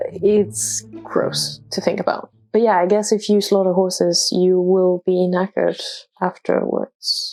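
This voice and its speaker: Music plays in the background as a woman with a Danish accent speaks at a fairly slow pace and very even loudness. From Denmark. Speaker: international student. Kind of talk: casual talk to camera.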